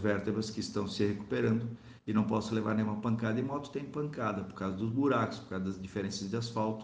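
Somewhat breathy and medium in pitch, a man talks at a fairly quick pace with ordinary pitch variation and audible room echo. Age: 40s. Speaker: priest and motorcyclist. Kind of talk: interview testimony.

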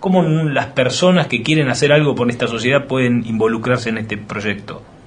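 A man's voice against noticeable background noise. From Argentina, Greater Buenos Aires. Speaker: radio host. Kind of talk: radio interview. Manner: halting, many repetitions.

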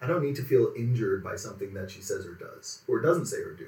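A man's fairly quick speech comes with audible room echo. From Quebec, Montreal area. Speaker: automotive writer. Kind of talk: casual interview. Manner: calm.

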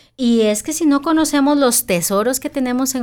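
This woman's intonation is lively, and her pace is fairly quick. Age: 40s. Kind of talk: casual faith-based chat.

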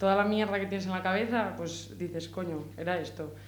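Against noticeable background noise and audible room echo, a woman speaks at a medium pitch. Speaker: rapper. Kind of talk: casual interview. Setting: radio studio.

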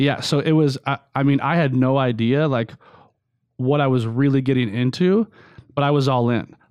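A man with an American accent speaks in a plain, everyday voice at a moderate pace and medium pitch, with ordinary pitch variation. His loudness stays very even, and the background is quiet. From US West Coast, California. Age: 40s. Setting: studio.

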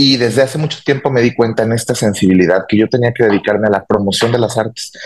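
Using an ordinary speaking voice, a man talks with ordinary pitch variation. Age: 30s. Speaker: cultural promoter and entrepreneur. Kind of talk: interview.

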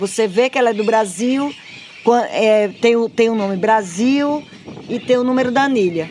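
Noticeable background noise runs under a woman's fairly high voice. She leaves long, frequent pauses. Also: ordinary pitch variation, moderate pace. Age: 50s. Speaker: nature reserve chief. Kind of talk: interview. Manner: animated.

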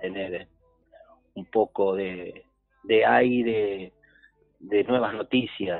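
A man with a fairly low voice talks at a very slow pace, his pitch rising and falling in an ordinary way. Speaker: trophey maker, sponsor. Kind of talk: radio interview by phone.

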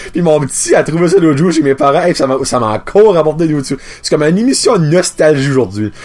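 Sounding animated, a man with a fairly high voice and lively intonation speaks at a fairly quick pace. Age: 30s. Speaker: podcast host. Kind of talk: casual chat.

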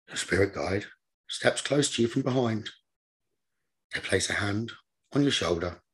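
Over a quiet background, a somewhat breathy man with a medium pitch speaks at a moderate pace with ordinary pitch variation and long, frequent pauses. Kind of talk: guided meditation.

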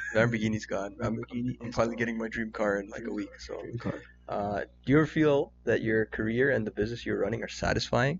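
Over noticeable background noise, a man with a Canadian accent speaks at a very fast pace. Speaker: podcast co-host. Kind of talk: casual chat.

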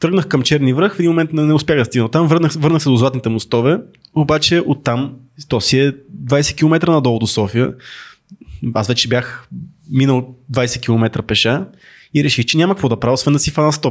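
At a moderate pace and very even loudness, a man speaks in an unremarkable speaking voice with a fairly high pitch and ordinary pitch variation. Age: 30s. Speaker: podcast co-host. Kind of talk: casual live chat. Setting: studio.

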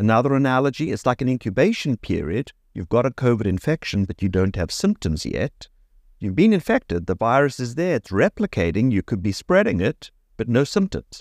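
With a South African accent, a man speaks fairly quickly at a medium pitch, his voice swinging very widely in pitch, in a dry, close sound with no echo on a very clean recording with a silent background. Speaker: neurology professor and ALS researcher. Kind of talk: interview. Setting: studio.

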